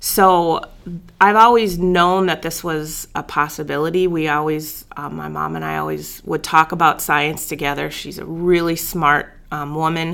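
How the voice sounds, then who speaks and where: A woman with an Upper Midwest accent talks at a fairly slow pace. Her voice is fairly low in pitch, with a bright, sharp tone. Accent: Upper Midwest American. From North Dakota. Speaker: biology professor. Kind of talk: casual interview.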